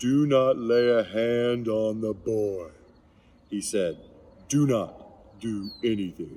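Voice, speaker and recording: A man's put-on character voice at a medium pitch and a very slow pace. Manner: commanding.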